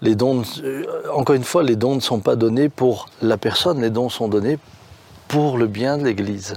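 There is noticeable background noise as a man talks at a moderate pace with ordinary pitch variation. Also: medium pitch for a man. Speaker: pastor. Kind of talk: casual chat.

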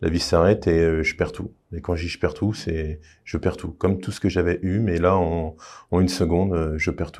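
On a very clean recording with a silent background, a man with a very deep, low pitch speaks in a monotone, flat intonation at a moderate pace. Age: 30s. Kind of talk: testimony. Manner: halting.

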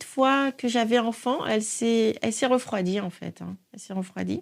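A fairly high-pitched woman is heard on a very clean recording where the background is silent. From Niger. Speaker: guest sharing faith testimony. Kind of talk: testimony. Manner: hesitant, filler-heavy.

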